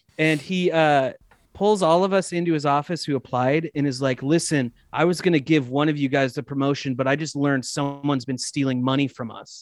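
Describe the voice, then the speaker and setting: In a plain, everyday voice, the speaker talks at a fairly quick pace. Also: man, fairly high pitch for a man. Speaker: comedian and actor. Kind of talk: casual chat.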